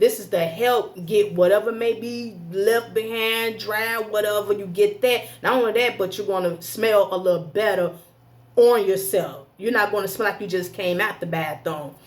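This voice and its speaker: This woman has a medium pitch and ordinary pitch variation. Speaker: religious health vlogger. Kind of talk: casual tutorial. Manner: fast.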